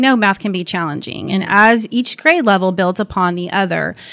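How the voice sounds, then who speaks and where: Speaking at a moderate pace, a woman delivers her words in an animated tone. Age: 40s. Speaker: school district instructional technology director, podcast host. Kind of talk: casual interview. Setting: at an elementary school.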